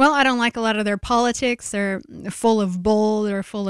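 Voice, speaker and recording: In a normal speaking voice, a woman with an American accent talks at a fairly quick pace in a fairly high pitch with fairly even intonation. The recording is very clean with a silent background, and the sound is dry and close with no echo. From US Pacific Northwest (Oregon). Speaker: clothing company founder. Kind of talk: interview.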